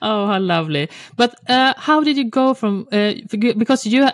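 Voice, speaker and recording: With a Swedish accent, a woman speaks at a fairly slow pace in a fairly high pitch with lively intonation, the sound dry and close with no echo. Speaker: podcast host. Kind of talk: casual interview chat.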